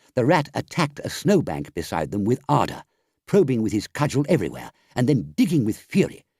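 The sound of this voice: Against a quiet background, the voice reads in an unforced way.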